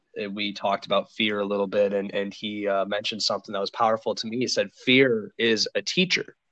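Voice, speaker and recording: Speaking with an American accent, a man delivers an unremarkable speaking voice at a fairly low pitch and a moderate pace, his intonation fairly even and the sound dry and close with no echo. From Minnesota. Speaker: podcast host. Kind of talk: casual interview chat.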